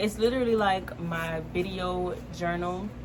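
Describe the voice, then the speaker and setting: There is audible room echo as a woman speaks. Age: 20s. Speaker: lifestyle vlogger. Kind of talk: casual vlog talk.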